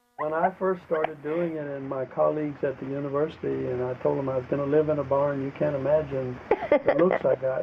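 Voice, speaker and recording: A man at a fairly high pitch, monotone and flat, at a fairly quick pace with hardly any pauses, over noticeable background noise. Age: 70s. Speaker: retired professor. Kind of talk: interview.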